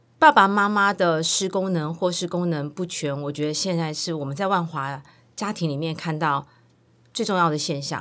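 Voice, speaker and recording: The recording is very clean, with a silent background. A woman speaks at a moderate pace in a fairly low voice with ordinary pitch variation. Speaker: children's service center director. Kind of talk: interview.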